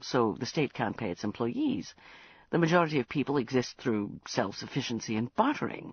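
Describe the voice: Someone simply reads the words aloud in a plain way.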